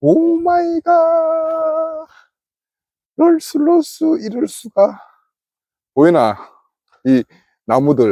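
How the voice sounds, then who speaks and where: A man with a Gyeongsang accent at a very slow pace, with long, frequent pauses and very even loudness throughout. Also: dry, close sound with no echo. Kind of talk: casual banter between friends.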